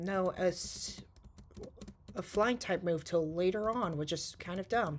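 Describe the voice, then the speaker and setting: A soft-spoken woman at a fairly slow pace, with ordinary pitch variation. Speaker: gaming YouTuber. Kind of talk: gameplay commentary. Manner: halting.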